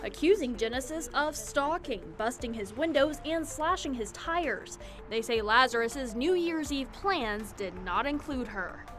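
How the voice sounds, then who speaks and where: Music plays in the background as a woman speaks with a high pitch. Her pace is fairly slow and her intonation lively. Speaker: news reporter. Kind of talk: TV news package voice-over.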